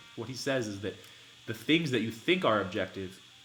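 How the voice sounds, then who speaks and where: Fairly quick, medium-pitched speech from a man, noticeable background noise and audible room echo around it. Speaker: livestreamer reading and discussing a book. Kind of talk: live-stream reading and commentary. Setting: live stream. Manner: fast; animated.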